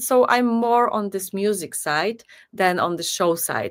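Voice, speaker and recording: Lively intonation marks this woman's medium-pitched voice. She speaks fairly slowly in a Polish accent. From Poland. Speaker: singer. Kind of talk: interview.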